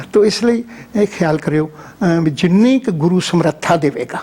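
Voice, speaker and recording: A man's high-pitched voice over noticeable background noise. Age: 70s. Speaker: Sikh religious scholar and former head priest. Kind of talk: interview. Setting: studio.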